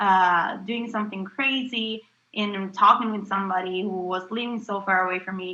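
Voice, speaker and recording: A woman with an Italian accent, medium pitch, a bright, sharp tone, ordinary pitch variation and moderate pace. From Italy, Calabria. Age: 20s. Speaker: interviewee. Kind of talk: interview. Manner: hesitant, many fillers.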